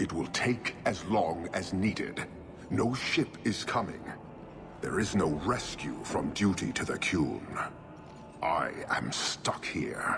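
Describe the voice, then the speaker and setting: Over loud background noise, a man puts on a character voice pitched very deep and low. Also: fairly slow pace. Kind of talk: formal, clipped speech. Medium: video game. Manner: stern, deliberate.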